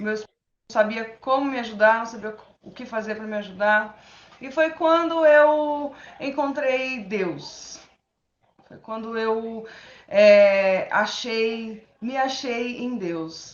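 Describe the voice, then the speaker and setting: A woman speaks at a very slow pace and a fairly high pitch, with ordinary pitch variation. Her loudness swings widely, and the room echo is audible. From São Paulo, Brazil. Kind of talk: interview testimony.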